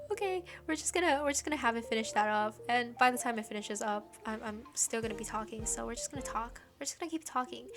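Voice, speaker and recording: Over noticeable background noise, a woman speaks in an animated tone at a very fast pace and fairly high pitch, with lively intonation and hardly any pauses. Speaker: gaming youtuber. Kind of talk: gameplay commentary.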